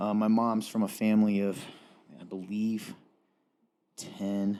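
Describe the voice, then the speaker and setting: A man with a slight Southern US accent has a fairly low pitch, a dark, mellow tone and a monotone, flat intonation. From Eastern Kentucky (Appalachia). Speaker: talk show co-host. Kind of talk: casual chat.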